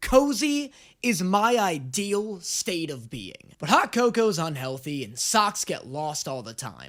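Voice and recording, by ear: A man speaks at a slow pace, his pitch high for a man and swinging widely with a fairly bright tone. The recording is very clean, with a silent background.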